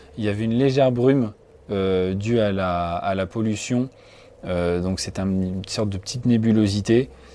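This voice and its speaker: A man talks at a fairly slow pace with ordinary pitch variation. The recording is very clean, with a silent background. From France, Loiret. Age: 20s. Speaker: nature photographer and environmental educator. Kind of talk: personal testimony. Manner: hesitant, many fillers.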